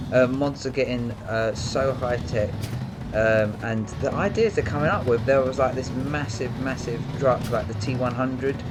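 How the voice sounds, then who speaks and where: Speaking with a British accent, a man at medium pitch keeps a fairly even intonation, with noticeable background noise and audible room echo. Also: moderate pace. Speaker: gaming YouTuber. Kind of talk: gameplay commentary. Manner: soft-spoken.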